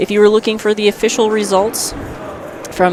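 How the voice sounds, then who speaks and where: A woman's medium-pitched voice at a very fast pace over noticeable background noise. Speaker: sports commentator. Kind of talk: live commentary.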